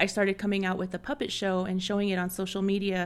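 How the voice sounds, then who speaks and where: At a fairly quick pace, a woman talks in a normal speaking voice at a medium pitch. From Navajo Nation, Arizona. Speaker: language revivalist and children's show producer. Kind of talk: interview conversation. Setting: host's home.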